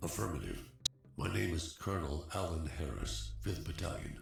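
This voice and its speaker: A man's put-on character voice at a moderate pace, with a slight echo and clear music in the background. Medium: video game. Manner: curt, military.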